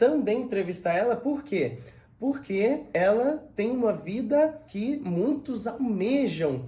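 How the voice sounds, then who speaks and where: At a very slow pace, a man with a high pitch speaks in a dark, mellow tone with lively intonation. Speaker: personal trainer and podcast host. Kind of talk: podcast interview questions.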